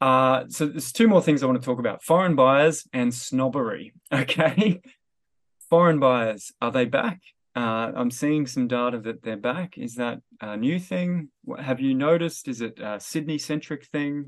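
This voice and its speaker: A man with a normal speaking voice talks at a moderate pace, his pitch medium and varying in an ordinary way. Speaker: podcast host and economist. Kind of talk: casual interview chat.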